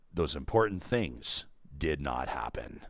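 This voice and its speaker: Doing a put-on character voice, a man speaks very deep and low at a fairly slow pace, in a dramatic, deadpan tone with lively intonation. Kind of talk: narration.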